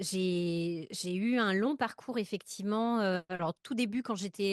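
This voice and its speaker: At a fairly slow pace, a woman speaks at medium pitch with ordinary pitch variation, dry and close with no echo over a quiet background. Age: 40s. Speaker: writer and podcast storyteller. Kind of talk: interview conversation. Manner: halting, many hesitations.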